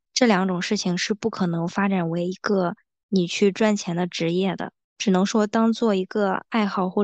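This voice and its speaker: Over a quiet background, a woman speaks at medium pitch and a moderate pace with monotone, flat intonation. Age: 20s. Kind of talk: casual chat.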